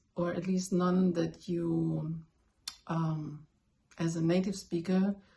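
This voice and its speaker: A woman with a German accent speaks at a very slow pace, her fairly low voice dark, mellow and somewhat breathy. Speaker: language learner, video blogger. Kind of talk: tutorial. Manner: casual, with fillers and self-corrections.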